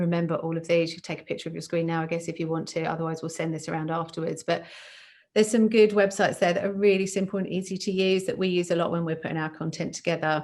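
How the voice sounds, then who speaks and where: Her pitch is fairly low and her intonation fairly even. This woman talks at a very fast pace. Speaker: recruitment company presenter. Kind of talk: webinar presentation. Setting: online webinar.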